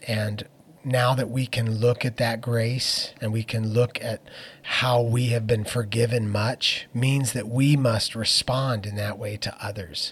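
Somewhat breathy and very slow, a man speaks in a medium pitch with an American accent and a flat, monotone intonation. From Phoenix, Arizona. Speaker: worship leader and pastor. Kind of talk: interview conversation. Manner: hesitant with fillers.

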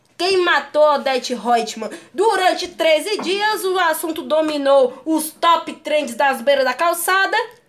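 A woman's extremely high-pitched voice with lively intonation, a very slow pace and hardly any pauses, over noticeable background noise. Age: young. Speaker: podcast co-host. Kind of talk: casual chat.

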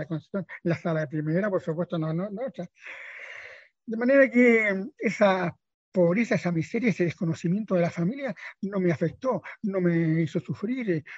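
Moderate pace and ordinary pitch variation. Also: man, dry, close sound with no echo. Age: 80s+. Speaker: bookshop founder. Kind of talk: radio interview. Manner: halting.

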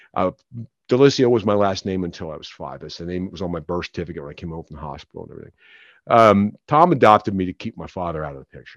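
With an American accent and a very deep, low pitch, a man talks at a very fast pace with lively intonation and big swings in loudness over a quiet background. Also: dry, close sound with no echo. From Philadelphia. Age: 50s. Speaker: author. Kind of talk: testimony. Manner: halting, frequent repetitions.

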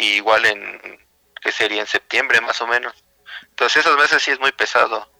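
In a dry, close sound with no echo, a man with a bright, sharp tone speaks at medium pitch and a moderate pace, his intonation fairly even. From Mexico City. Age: 30s. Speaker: video game editor. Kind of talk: casual interview. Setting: radio studio.

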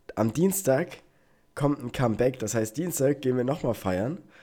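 A man's medium-pitched, dark, mellow voice with lively intonation, in a very clean recording with a silent background. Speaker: podcast host, engineering student. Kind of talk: casual chat. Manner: animated, laughing.

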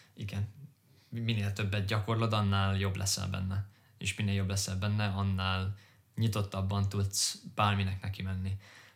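Somewhat breathy and fairly low-pitched, a man speaks at a fairly slow pace with monotone, flat intonation. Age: 20s. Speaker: podcast co-host, corporate finance employee. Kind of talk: casual chat.

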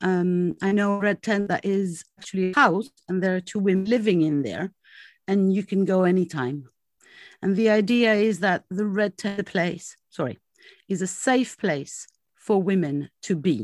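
A woman with a French accent talks at a moderate pace in a very clean recording with a silent background and a dry, close sound with no echo. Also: medium pitch for a woman, ordinary pitch variation. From France, Greek heritage. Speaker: women's circle facilitator. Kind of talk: interview. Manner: halting.

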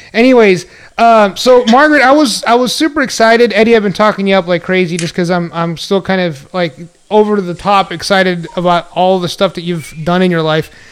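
An American-accented man speaks at a fairly quick pace in a high voice, with an animated tone and ordinary pitch variation. Noticeable background noise sits behind him. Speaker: podcast host. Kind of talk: casual chat.

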